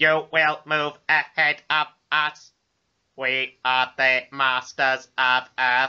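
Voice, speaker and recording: A put-on character voice sounds robotic and strained, pitched low-to-middle. It moves at a very slow pace with monotone, flat intonation. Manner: menacing, commanding.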